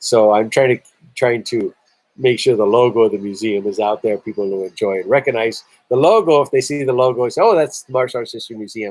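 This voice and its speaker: The speech runs at a very fast pace with big swings in loudness and ordinary pitch variation. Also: man, medium pitch for a man. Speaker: museum director hosting a livestream. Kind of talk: live stream chat with viewers.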